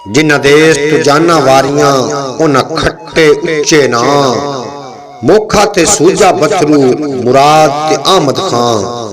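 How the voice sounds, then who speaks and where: Over noticeable background noise, a man speaks at a fairly high pitch with ordinary pitch variation and very even loudness. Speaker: poetry reciter. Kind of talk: poetry reading.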